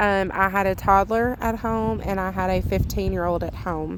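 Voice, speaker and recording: A woman speaks at a medium pitch with a Southern US accent. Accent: southern drawl. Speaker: homemaking vlogger. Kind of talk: voice-over narration of cleaning video. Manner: casual, many fillers.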